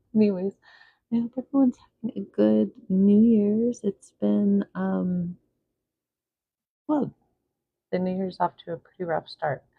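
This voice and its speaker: Soft-spoken, a woman talks at a fairly slow pace with long, frequent pauses. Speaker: art vlogger. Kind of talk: casual painting vlog talk. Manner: soft-spoken, quiet.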